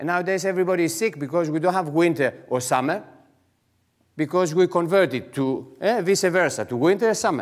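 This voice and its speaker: The man's pitch is high. The background is quiet. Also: ordinary pitch variation, fairly quick pace. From Greece. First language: Greek. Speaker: entrepreneur; conference speaker. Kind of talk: conference talk. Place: hall. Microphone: headset.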